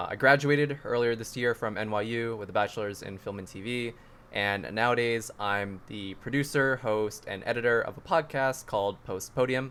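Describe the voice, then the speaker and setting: An ordinary speaking voice from a man at medium pitch, moderate pace and hardly any pauses, with ordinary pitch variation and big swings in loudness. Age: 20s. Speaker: content creator. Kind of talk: casual chat.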